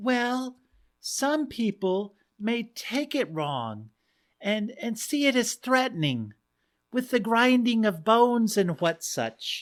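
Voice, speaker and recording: A female-sounding put-on character voice, fairly high in pitch, speaks at a very slow pace in a very clean recording with a silent background. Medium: read story. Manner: gentle, hesitant.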